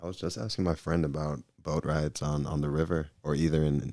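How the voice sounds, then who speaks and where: A man with an American accent, very deep and low in pitch, dark and mellow in tone, at a very fast pace with fairly even intonation and big swings in loudness. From US South, Georgia (Gwinnett County). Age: 20s. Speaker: professional soccer goalkeeper. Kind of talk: casual chat. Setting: studio.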